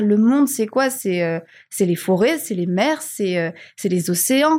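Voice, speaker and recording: In a very clean recording with a silent background and a dry, close sound with no echo, a somewhat breathy voice moves through very wide pitch swings at a fairly slow pace. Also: woman. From Madagascar. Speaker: marketing and communication director. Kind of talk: interview conversation.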